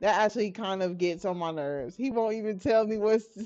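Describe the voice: The speaker does plain reading aloud with ordinary pitch variation.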